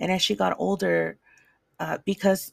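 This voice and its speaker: A woman with a Spanish accent is heard on a very clean recording with a silent background. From El Salvador, raised in the US. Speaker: podcast host. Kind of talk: personal monologue. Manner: halting, repeats words.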